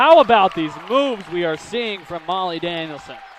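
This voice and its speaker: In a raised, projected voice, a man talks at a fairly slow pace while crowd noise carries in the background. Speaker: sports play-by-play announcer. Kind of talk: basketball play-by-play commentary.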